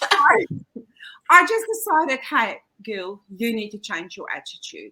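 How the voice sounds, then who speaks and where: In a South African accent, a raised, projected voice moves at a fairly slow pace with very wide pitch swings. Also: woman, high pitch for a woman, big swings in loudness. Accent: Afrikaans accent in English. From South Africa, Pretoria. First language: Afrikaans. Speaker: kindergarten teacher. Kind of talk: casual chat.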